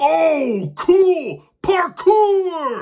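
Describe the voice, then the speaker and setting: Someone performs a squeaky, high-pitched put-on character voice. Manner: excited.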